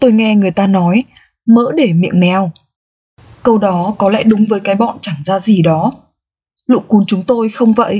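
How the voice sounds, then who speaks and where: A woman talks in a playful, warm tone at a fairly slow pace. Her pitch is medium, with ordinary pitch variation. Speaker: audiobook narrator. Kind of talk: audiobook reading of a novel, narrated in first person as a dog. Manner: storytelling, playful and humorous, with a warm, expressive tone.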